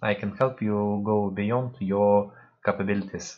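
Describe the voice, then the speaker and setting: A man with a Russian accent speaks at a fairly low pitch. His intonation is monotone and flat. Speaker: spiritual practitioner. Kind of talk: online talk. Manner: halting.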